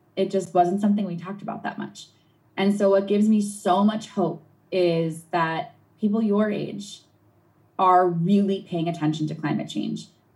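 Somewhat breathy, a woman speaks at a moderate pace in a medium pitch. Her intonation stays fairly even. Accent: American. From New England, US. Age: 30s. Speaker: marine scientist and environmental activist. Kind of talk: interview answering a child's questions.

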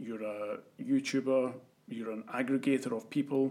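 In a Scottish accent, a man talks at a medium pitch with ordinary pitch variation. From Scotland. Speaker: podcast host. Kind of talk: interview.

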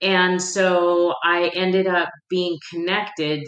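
Audible room echo surrounds a woman's fairly low voice. Her tone is bright and sharp. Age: 50s. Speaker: women's life coach. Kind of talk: casual interview chat.

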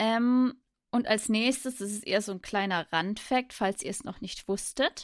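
In a plain, everyday voice, a woman speaks at a fairly slow pace with fairly high pitch, ordinary pitch variation and big swings in loudness, on a very clean recording with a silent background. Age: 30s. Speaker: podcast co-host. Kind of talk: casual chat.

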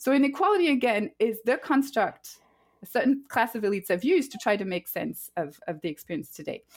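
A woman with a French accent speaks at a fairly quick pace in a high voice, her pitch swinging very widely. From France. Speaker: professor of public policy. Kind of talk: podcast interview.

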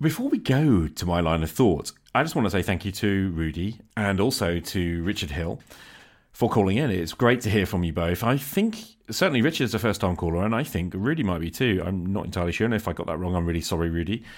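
A man with a British accent talks at a very fast pace. His pitch is very deep and low, and his intonation is lively. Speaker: podcast host. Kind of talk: solo podcast monologue with call-ins and reading. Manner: casual, unscripted.

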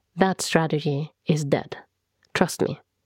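In a Norwegian accent, the voice has a dark, mellow tone and ordinary pitch variation, with a dry, close sound and no echo. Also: woman. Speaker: podcast host and author. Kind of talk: scripted narration. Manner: formal.

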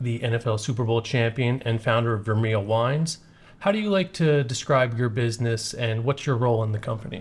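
A man talks at a fairly quick pace in a medium pitch, somewhat breathy, with ordinary pitch variation. The recording is very clean with a silent background. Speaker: podcast host. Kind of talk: interview.

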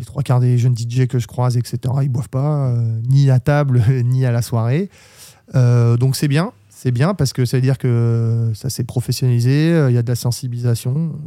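A man talks at a moderate pace with a medium pitch, a dark, mellow tone and fairly even intonation. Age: 30s. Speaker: club DJ. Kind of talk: interview. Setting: studio.

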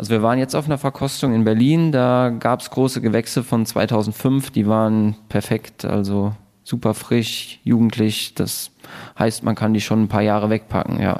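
In a very clean recording with a silent background, a man with an unremarkable speaking voice speaks at a medium pitch, a moderate pace and a fairly even intonation. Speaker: winemaker. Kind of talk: casual interview chat. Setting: at a table in the winery.

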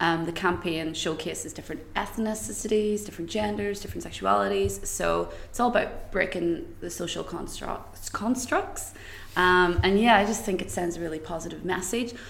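Hardly pausing, a woman talks at a moderate pace in a Northern Irish accent. Room echo can be heard. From Northern Ireland, County Tyrone. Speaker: creative agency employee. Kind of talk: casual chat.

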